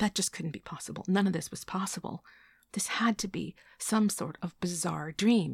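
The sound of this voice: A reading voice, unforced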